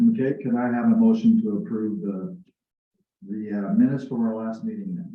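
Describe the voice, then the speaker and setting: A fairly high-pitched man at a fairly quick pace, with very wide pitch swings, big swings in loudness and audible room echo. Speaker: library board chair. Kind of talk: public meeting chairing. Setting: meeting room with audience and Zoom. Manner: hesitant, many fillers.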